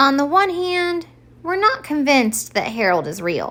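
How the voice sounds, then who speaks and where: A woman puts on a character voice, pitched high and swinging very widely in pitch. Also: moderate pace. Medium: read story. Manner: deliberate, weighing both sides.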